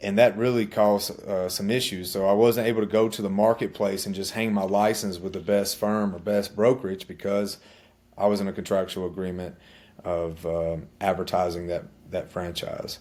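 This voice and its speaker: On a very clean recording with a silent background, a man with an Alabama accent talks at a moderate pace, his pitch fairly low and his intonation fairly even. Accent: Southern US (Alabama). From US South, central Alabama (Chilton County). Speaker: army veteran and realtor. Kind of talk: interview.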